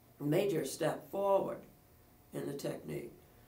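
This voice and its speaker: A man speaks with audible room echo. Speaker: music professor. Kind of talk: lecture.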